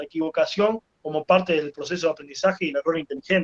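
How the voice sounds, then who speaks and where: Recorded with a dry, close sound and no echo, a man talks at a very fast pace with a high pitch. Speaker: teacher. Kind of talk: talk to teachers with Q&A. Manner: animated.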